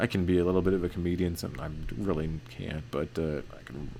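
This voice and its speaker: A man speaks at a very fast pace with a very deep, low pitch. Audible room echo hangs around his voice. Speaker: forex trading educator. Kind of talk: tutorial. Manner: hesitant, many fillers.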